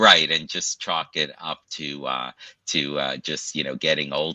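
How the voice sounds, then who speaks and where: In an American accent, a man talks at a fairly slow pace, with a dry, close sound and no echo. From Brooklyn, New York. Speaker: pain medicine doctor. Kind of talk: interview. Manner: halting.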